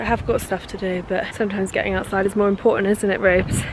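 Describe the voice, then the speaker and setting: A woman at a very fast pace and medium pitch with monotone, flat intonation amid noticeable background noise. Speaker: actor and vlogger. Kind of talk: casual vlog. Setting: outdoors.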